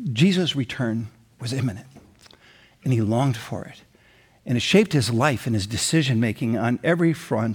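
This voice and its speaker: A somewhat breathy man's voice at medium pitch and a moderate pace. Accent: American. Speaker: pastor. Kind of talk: sermon. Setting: church with online campus.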